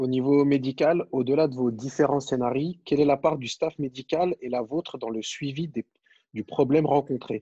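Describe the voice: At a moderate pace, a man with medium pitch, a dark, mellow tone and a slightly husky edge speaks with ordinary pitch variation in a dry, close sound with no echo.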